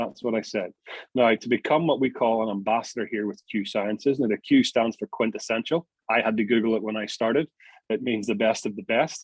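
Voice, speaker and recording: With a Northern Irish accent, a man talks at a fairly quick pace. His voice sits at a medium pitch. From Northern Ireland. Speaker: network marketing presenter. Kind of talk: sales pitch. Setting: video call. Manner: animated.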